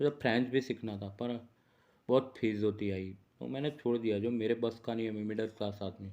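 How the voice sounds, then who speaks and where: A man speaks with a Gujarati accent at a medium pitch. His tone is dark and mellow, and his intonation stays fairly even. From India, Gujarat (Ahmedabad). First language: Gujarati (speaking Hindi). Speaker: journalist and astrologer. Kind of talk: casual vlog monologue. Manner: unscripted, rambling.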